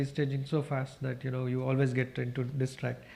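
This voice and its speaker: A man speaks at a fairly quick pace with a Kannada accent. His fairly high-pitched voice is somewhat breathy. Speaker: newsroom director. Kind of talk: panel discussion.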